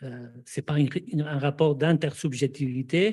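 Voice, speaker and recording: Fairly slow and somewhat breathy, a man speaks with a non-native accent, a fairly high pitch and a dark, mellow tone. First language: not French (speaking French). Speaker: psychoanalyst, seminar speaker. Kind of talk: panel discussion. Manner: halting, many hesitations.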